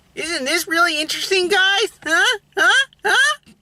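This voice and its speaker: A put-on character voice at extremely high pitch and moderate pace. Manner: nerdy, enthusiastic, inquisitive.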